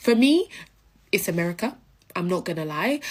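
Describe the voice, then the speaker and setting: In a London accent, a woman talks at a moderate pace and medium pitch in a very clean recording with a silent background. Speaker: social media creator. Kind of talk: casual storytelling to camera. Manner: hesitant with many fillers.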